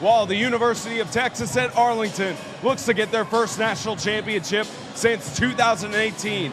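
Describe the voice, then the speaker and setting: Music plays in the background as a man speaks at a fairly quick pace. His voice is high, with ordinary pitch variation. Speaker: sports broadcaster. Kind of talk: broadcast open.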